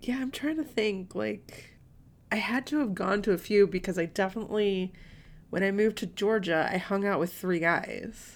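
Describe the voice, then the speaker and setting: A woman with a normal speaking voice, at a medium pitch, speaks at a moderate pace with ordinary pitch variation. The recording is very clean, with a silent background. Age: 30s. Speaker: book podcast co-host. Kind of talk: casual chat.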